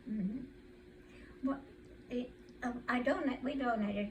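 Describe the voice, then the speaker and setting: A woman's fairly high voice with ordinary pitch variation, amid audible room echo and noticeable background noise. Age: 80s+. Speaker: centenarian family elder interviewed. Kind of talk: casual family interview. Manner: halting.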